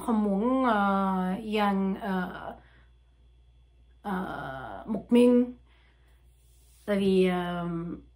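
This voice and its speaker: A woman with a French accent speaks at a very slow pace, leaving long, frequent pauses, her medium pitch moving with ordinary variation against a quiet background. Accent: French-accented learner Vietnamese. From France. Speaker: language learner. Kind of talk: casual talk to camera. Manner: hesitant, many fillers. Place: home room. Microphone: webcam.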